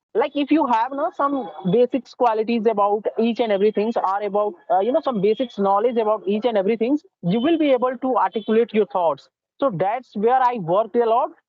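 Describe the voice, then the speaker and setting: Someone talks at a fairly quick pace with an Indian accent. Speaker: English learner. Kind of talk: spoken English practice interview. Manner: fast.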